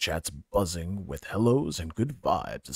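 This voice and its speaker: A put-on character voice speaks at a fairly slow pace. The recording is very clean, with a silent background. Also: man, fairly low pitch for a man. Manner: dramatic, overblown.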